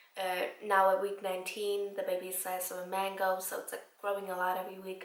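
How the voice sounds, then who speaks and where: Audible room echo surrounds this woman as she talks. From Iceland. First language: Icelandic. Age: 20s. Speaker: vlogger. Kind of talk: casual chat.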